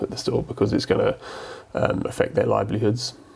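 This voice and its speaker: A man with an English accent is heard over noticeable background noise. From England. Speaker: guitar YouTuber. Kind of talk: casual vlog commentary. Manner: hesitant, many fillers.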